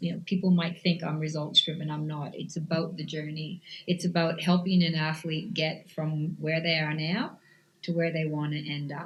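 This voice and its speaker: This woman's voice is very deep and low in pitch, somewhat breathy, and moves at a moderate pace. Her intonation is monotone and flat. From Canada. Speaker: cycling coach. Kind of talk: interview.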